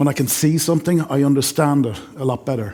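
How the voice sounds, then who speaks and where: A man speaks at a fairly quick pace in an Irish accent. His pitch sits fairly high. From Ireland. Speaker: sales engineer. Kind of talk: product demo. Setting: webinar. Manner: fast.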